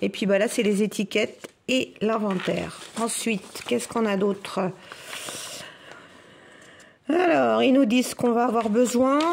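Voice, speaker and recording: At a very slow pace, a woman speaks in a fairly high voice over noticeable background noise. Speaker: crafts YouTuber. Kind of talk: tutorial. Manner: casual, chatty.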